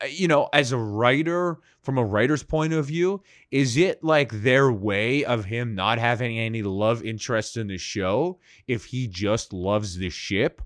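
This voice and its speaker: In a very clean recording with a silent background, a man with an unremarkable speaking voice talks fairly slowly at medium pitch with lively intonation. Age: 30s. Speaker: podcast host and former stand-up comedian. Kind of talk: casual chat.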